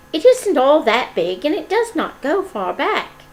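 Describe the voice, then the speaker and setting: A woman puts on a character voice, pitched high. She moves at a moderate pace with very wide pitch swings. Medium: read story.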